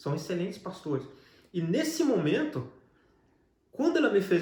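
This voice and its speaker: A man talks at a high pitch and a moderate pace. His intonation is lively, and there is audible room echo. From Brazil. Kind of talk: testimony interview.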